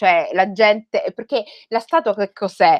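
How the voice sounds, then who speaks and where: The quiet recording carries a woman's voice. She keeps to a moderate pace. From Rome, Italy (Somali heritage). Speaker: writer. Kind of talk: talk to school students. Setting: video call. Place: home room. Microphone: headset.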